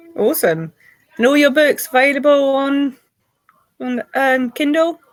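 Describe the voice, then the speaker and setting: Speaking with a British accent, a woman uses a high pitch with ordinary variation. Her pace is fairly slow. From Britain. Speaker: podcast host and publisher. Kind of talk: interview.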